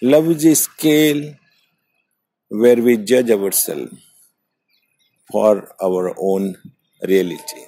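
Very slow speech in a dark, mellow tone, with long, frequent pauses. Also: man, medium pitch for a man, lively intonation. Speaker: wisdom channel host, meditation walk monologist. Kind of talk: reflective philosophical monologue. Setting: outdoors, recorded on a morning walk. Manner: slow, contemplative.

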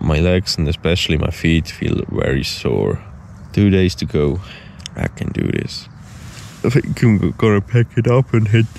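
A man speaks at a fairly slow pace in a very deep, low voice with vocal fry and lively intonation, the sound dry with no echo over light background noise. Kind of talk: casual vlog chat. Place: forest. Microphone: phone near.

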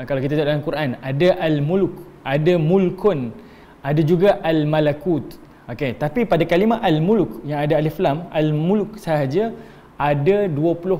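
A normal speaking voice from a man, fairly high in pitch, with ordinary pitch variation and a moderate pace. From Malaysia. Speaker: Islamic religious teacher; religious teacher. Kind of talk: religious lecture. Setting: online class streamed on Facebook. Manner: conversational with frequent fillers. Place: empty room.

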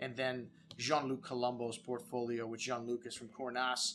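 A man talks fairly quickly while light noise sits in the background. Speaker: wine shop host. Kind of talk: product presentation to camera. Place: studio.

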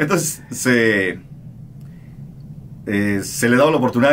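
Under light background noise, a man speaks at a fairly slow pace with ordinary pitch variation. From Mexico. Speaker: radio host. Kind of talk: interview answer. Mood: calm, reflective. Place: studio. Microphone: studio mic.

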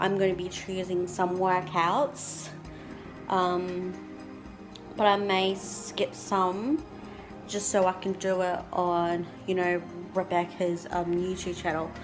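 Over clear background music, a woman speaks at a very slow pace with fairly even intonation and long, frequent pauses. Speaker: vlogger. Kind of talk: casual vlog chat. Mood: relaxed, slightly anxious. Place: home room. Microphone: phone near.

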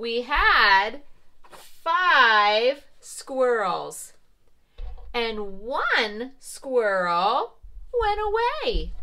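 A female-sounding voice in a cartoonish character voice, high-pitched and very slow, with long, frequent pauses. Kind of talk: preschool teacher talk. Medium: puppet show. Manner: warm, bright, encouraging, slow and clear; playfully surprised.

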